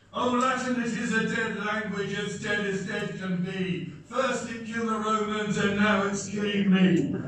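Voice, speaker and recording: A high-pitched man speaks with fairly even intonation amid strong room echo and light background noise. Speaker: club president. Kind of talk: competition speech. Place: hall. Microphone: camera far.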